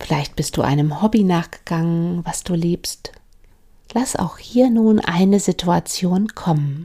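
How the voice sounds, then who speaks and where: A woman speaks at a very slow pace in a calm, soothing tone that is dark and mellow. Her voice is somewhat breathy, with ordinary pitch variation. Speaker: mindfulness coach and podcast host. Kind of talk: guided meditation. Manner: slow, calm, soothing; gentle, with long pauses.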